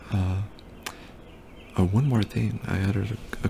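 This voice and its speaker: A man is whispering. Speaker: student. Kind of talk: casual project demo narration. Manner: whispered.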